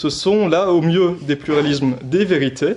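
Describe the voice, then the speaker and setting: This man speaks at a fairly slow pace. His pitch is fairly high, with ordinary variation. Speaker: philosophy lecturer. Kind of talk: lecture.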